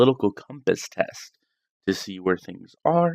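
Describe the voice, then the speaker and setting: In a dry, close recording with no echo, a man speaks quietly at a moderate pace. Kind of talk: casual political talk livestream. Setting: at home, night. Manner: quiet, hushed.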